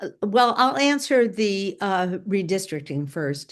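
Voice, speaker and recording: Against a quiet background, a woman speaks at a very slow pace. Her voice sits at a medium pitch and her intonation is lively. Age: 80s+. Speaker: civic activist and lawyer. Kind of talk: interview conversation. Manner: halting, many fillers and restarts.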